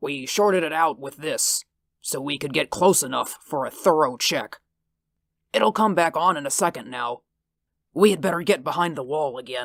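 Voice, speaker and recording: The speaker puts on a raspy character voice. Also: man, fairly high pitch for a man, moderate pace, ordinary pitch variation. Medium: read story.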